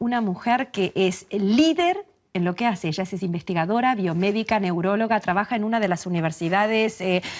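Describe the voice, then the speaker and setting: A woman speaks at a moderate pace with hardly any pauses, in a normal speaking voice at medium pitch with ordinary pitch variation. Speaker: TV interviewer. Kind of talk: TV interview host.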